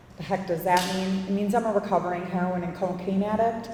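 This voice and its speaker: With noticeable noise behind her and audible echo in the room, the woman talks in a medium register. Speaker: peer support specialist. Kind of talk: public talk. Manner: quivering voice.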